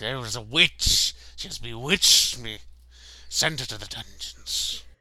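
Using a put-on character voice, a man hisses at a fairly slow pace and medium pitch. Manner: accusing, dramatic.

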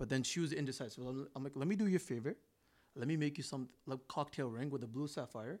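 An unremarkable speaking voice from a man, medium in pitch with ordinary pitch variation, at a fairly quick pace on a very clean recording with a silent background. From Canada (GTA), partly raised in India. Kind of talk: casual chat.

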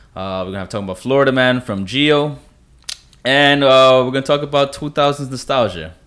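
The pace here is moderate, and the pitch varies in an ordinary way. It is an ordinary speaking voice. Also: man. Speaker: podcast host. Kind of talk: casual chat.

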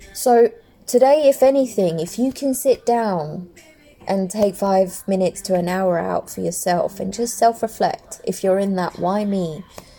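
A woman at medium pitch, fairly slow pace and ordinary pitch variation, with noticeable background noise. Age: 30s. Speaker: podcaster. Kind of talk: personal monologue. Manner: casual.

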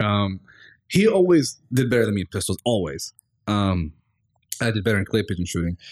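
A man talks at a fairly quick pace in a fairly low pitch with ordinary pitch variation, leaving long, frequent pauses. The recording is very clean, with a silent background and a dry, close sound with no echo. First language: Arabic. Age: 20s. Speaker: podcast host. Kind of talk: casual interview chat.

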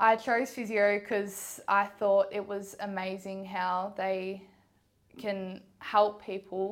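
A woman's medium-pitched, flat monotone at a very slow pace, on a very clean recording with a silent background. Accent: Australian. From Ballarat, Victoria, Australia. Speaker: physiotherapy student. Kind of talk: interview.

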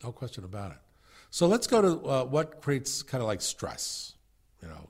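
Recorded cleanly against a silent background, a man speaks at a fairly high pitch and a fairly quick pace. His voice carries vocal fry and swings very widely in pitch. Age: 60s. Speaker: podcast host and mental health coach. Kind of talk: instructional walkthrough of a curriculum manual. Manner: halting, frequent fillers and restarts.

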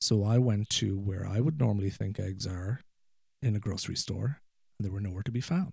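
An American accent at a fairly quick pace, somewhat breathy and dark and mellow in tone, with ordinary pitch variation. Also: man, fairly low pitch for a man. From Ireland. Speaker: guest, widower sharing personal story. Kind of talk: casual interview conversation. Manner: halting, frequent repetitions and fillers.

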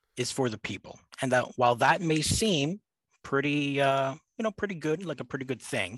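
A man's fairly high voice with a Canadian accent, lively intonation and a moderate pace, an ordinary speaking voice, dry and close with no echo, over a quiet background. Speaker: university student. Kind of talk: casual chat.

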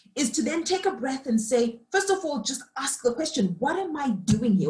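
Her pitch swings very widely. The woman talks at a moderate pace. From Zimbabwe. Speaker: leadership coach and facilitator. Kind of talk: reflective interview conversation.

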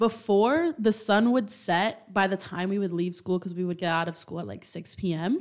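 A woman with a normal speaking voice talks at a moderate pace and medium pitch, with ordinary pitch variation and hardly any pauses. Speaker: college student podcast co-host. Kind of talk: casual chat.

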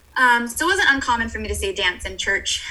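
A woman speaks over noticeable background noise. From Hawaii. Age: 20s. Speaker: schoolteacher and dancer. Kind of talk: casual interview. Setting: video call.

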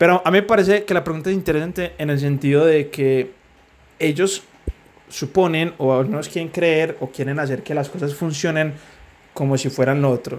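This is an ordinary speaking voice, a man's at a fairly high pitch, moving at a moderate pace with ordinary pitch variation. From Colombia, Medellín. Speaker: podcast co-host. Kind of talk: casual chat.

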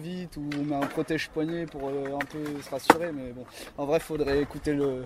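A man with a fairly high voice talks at a moderate pace in a flat monotone over noticeable background noise. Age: 20s. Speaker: skateboarder and skate instructor. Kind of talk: casual interview. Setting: outdoors.

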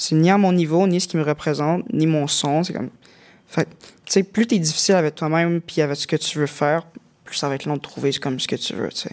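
A man with a fairly high pitch speaks at a fairly quick pace, his pitch varying in an ordinary way. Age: 20s. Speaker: music producer. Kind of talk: casual chat.

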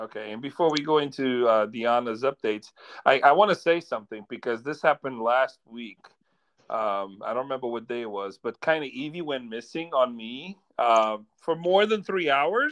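In a plain, everyday voice, a man talks at a moderate pace and medium pitch with lively intonation and big swings in loudness over a quiet background. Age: 40s. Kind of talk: casual chat.

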